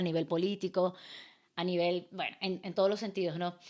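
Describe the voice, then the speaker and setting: A woman at a medium pitch and fairly quick pace, on a very clean recording with a silent background. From Venezuela, Maracaibo (Zulia). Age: 20s. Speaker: artist and entrepreneur. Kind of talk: casual interview chat.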